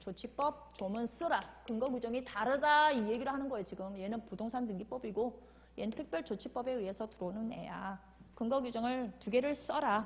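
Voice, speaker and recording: This woman has an unremarkable speaking voice with a fairly high pitch. She moves at a fairly quick pace with ordinary pitch variation. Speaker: law exam lecturer. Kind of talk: lecture.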